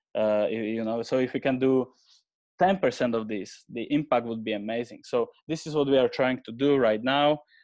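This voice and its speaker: At a moderate pace, a man with a Slovak accent speaks over a quiet background. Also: medium pitch for a man, ordinary pitch variation. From Slovakia. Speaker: AI researcher, head of innovation. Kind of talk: webinar presentation. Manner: halting, many fillers.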